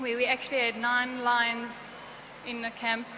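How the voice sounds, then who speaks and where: The delivery is monotone and flat, with noticeable background noise behind it. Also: woman. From South Africa. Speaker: game show contestant, stuntwoman. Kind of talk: TV interview.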